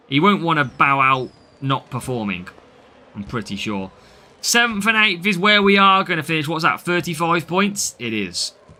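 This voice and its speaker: A man with a British accent, fairly high pitch, very wide pitch swings, a bright, sharp tone and a moderate pace. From Britain. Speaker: mobile game streamer. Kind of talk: live gameplay commentary with chat. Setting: live stream.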